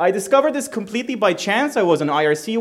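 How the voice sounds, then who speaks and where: A man with an Israeli accent and very wide pitch swings, over noticeable background noise. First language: Hebrew. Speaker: security researcher. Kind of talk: conference talk. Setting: stage with audience. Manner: casual, irreverent, fast.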